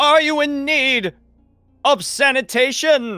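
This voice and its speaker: Music plays in the background as a man uses a put-on character voice. It is extremely high-pitched and delivered at a fairly slow pace. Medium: actual play. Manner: stiff, formal.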